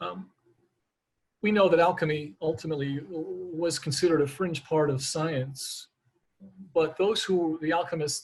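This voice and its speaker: With long, frequent pauses, a man talks at a fairly high pitch and with fairly even intonation. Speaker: naturopathic physician. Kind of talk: lecture. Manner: fast; halting, many repetitions.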